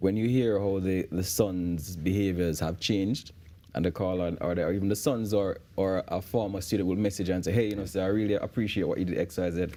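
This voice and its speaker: A man with a Jamaican accent speaks at a fairly quick pace in a very deep, low pitch. His tone is dark and mellow, with fairly even intonation. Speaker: men's issues advocate and teacher. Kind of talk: TV interview. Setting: TV studio. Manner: halting, many repetitions.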